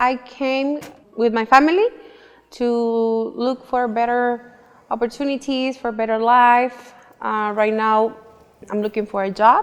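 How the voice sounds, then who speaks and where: With a Mexican accent, a woman speaks at a fairly slow pace in a high voice, her intonation fairly even and broken by long, frequent pauses. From Mexico, Nuevo Laredo, Tamaulipas. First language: Spanish. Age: 30s. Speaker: immigrant job seeker, interviewee. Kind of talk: documentary interview.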